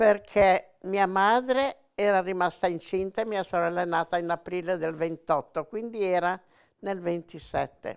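Against a quiet background, a woman speaks very slowly with fairly even intonation. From Genoa, Italy; Italy. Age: 80s+. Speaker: former partisan; witness. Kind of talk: testimony; interview answer. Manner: halting. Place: home room. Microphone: lapel.

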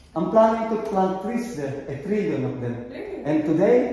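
A man talks at a moderate pace, his pitch swinging very widely and his loudness rising and falling sharply. Strong echo fills the room. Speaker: vlogger. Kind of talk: casual vlog chat. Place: hall.

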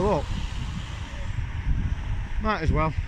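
A man is heard over loud background noise. The sound is dry, with no echo. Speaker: village walk vlogger. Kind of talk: casual vlog chat. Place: street. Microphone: phone near.

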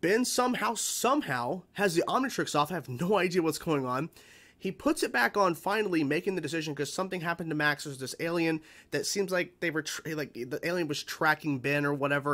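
A man speaks with lively intonation. His pace is very fast. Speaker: reaction channel host. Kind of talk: casual vlog chat. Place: home room.

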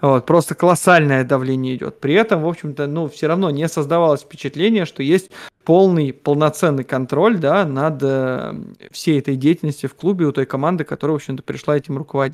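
Over a quiet background, a man talks at a fairly quick pace. His pitch varies in an ordinary way. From Siberia, Russia (Omsk); Siberia, Russia. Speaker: economist and football fan; guest. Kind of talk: casual chat. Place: office. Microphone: video call.

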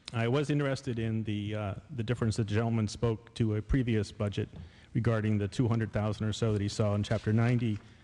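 Fairly even intonation from a man with a dark, mellow tone, a fairly low pitch and a fairly quick pace. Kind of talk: public meeting remarks and question. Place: hall. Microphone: podium.

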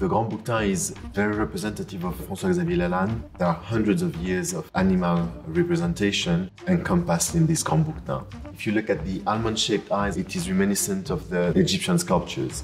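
A man's very deep, low voice at a fairly quick pace over faint music in the background. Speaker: auction house design specialist. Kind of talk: interview answer. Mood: admiring, enthusiastic. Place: hall. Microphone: lapel.

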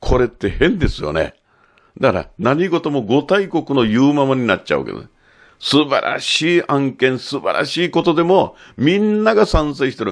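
A man's lively intonation at a moderate pace over a quiet background. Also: fairly high pitch for a man. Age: 60s. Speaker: photographer and commentator; commentator. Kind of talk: monologue commentary. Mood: critical, animated. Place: studio.

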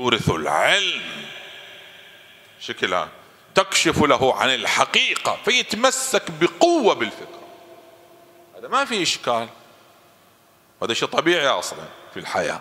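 A man talks at a fairly slow pace, leaving long, frequent pauses. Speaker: cleric lecturer. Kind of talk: sermon. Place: hall. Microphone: studio mic.

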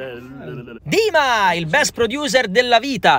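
A man's voice with very wide pitch swings, dry and free of echo. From Rome, Italy; Italy. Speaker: voice actor and singer; vlogger. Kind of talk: vlog narration. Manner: animated. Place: studio.

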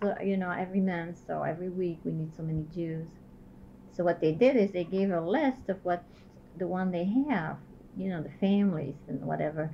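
A woman talks at a fairly quick pace over light background noise. Her medium-pitched voice is somewhat breathy. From Belgium, Liège; Belgium. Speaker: Holocaust survivor and resistance veteran. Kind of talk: oral history interview. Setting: at her home. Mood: reflective, somber. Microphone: old recording.

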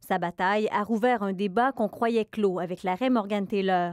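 A woman's fairly high voice with a Quebec accent, at a fairly slow pace, dry and close with no echo. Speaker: TV news reporter. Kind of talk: newsreading, scripted TV report narration. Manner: formal, measured, even-paced.

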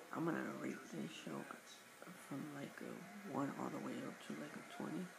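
Loud background noise surrounds this recording. A man talks at a moderate pace. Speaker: vlogger reviewing a TV show. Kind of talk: casual talk to camera, TV show review. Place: home room. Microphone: webcam.

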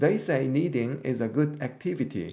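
There is audible room echo around a man whose voice sits at a fairly high pitch. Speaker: English teacher. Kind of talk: lecture.

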